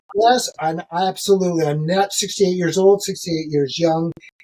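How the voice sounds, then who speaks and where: The man talks at a moderate pace in a high voice with ordinary pitch variation, and the sound is dry and close with no echo. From Canada, Ontario. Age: 60s. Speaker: ultramarathon runner. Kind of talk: podcast interview.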